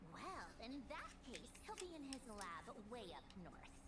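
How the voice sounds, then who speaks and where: A put-on character voice that sounds female, pitched high and delivered at a fairly slow pace. Loud background noise runs underneath. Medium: game stream. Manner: casual, breezy.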